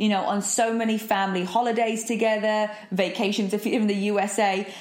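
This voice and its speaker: A woman with a British accent speaks at a moderate pace, her pitch fairly high and her loudness very even. Noticeable background noise runs underneath. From southern England, Eastbourne. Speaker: podcast host. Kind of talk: solo monologue. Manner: animated.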